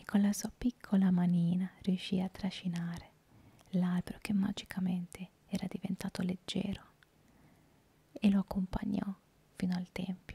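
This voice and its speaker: Whispering and soft-spoken, the voice is somewhat breathy at a moderate pace. Long pauses come often. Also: woman. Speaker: storyteller. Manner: soft close-mic whisper, storytelling. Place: home room. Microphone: handheld.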